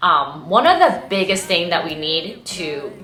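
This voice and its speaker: Over music in the background and audible room echo, a woman speaks at a fairly low pitch in a Cantonese accent. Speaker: vlogger, former beauty queen. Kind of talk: casual vlog talk. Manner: casual, filler-heavy.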